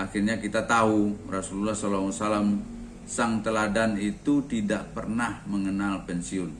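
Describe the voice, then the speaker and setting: Fairly low-pitched and fairly quick, a man talks with fairly even intonation amid audible room echo. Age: 60s. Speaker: retiree and organic fertilizer sales agent. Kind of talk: talk sharing personal experience. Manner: conversational with frequent fillers.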